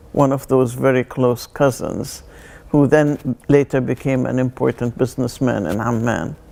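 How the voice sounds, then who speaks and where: Speaking at a fairly slow pace, a woman has a very deep, low pitch with ordinary pitch variation. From Palestine, Jerusalem and Jaffa. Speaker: artist. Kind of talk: interview testimony. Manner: halting, many fillers.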